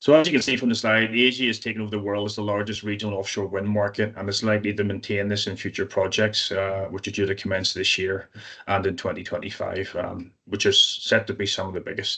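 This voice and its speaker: A man speaks at a very fast pace with hardly any pauses, his pitch fairly low and his intonation fairly even. The tone is bright and sharp, and the background is quiet. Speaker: insurance claims specialist. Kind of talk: webinar presentation. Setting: online webinar.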